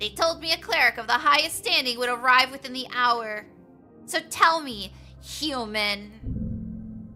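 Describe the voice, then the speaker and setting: A put-on character voice at a fairly slow pace over clear music in the background. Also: female-sounding voice, high pitch for a woman. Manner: imperious, commanding.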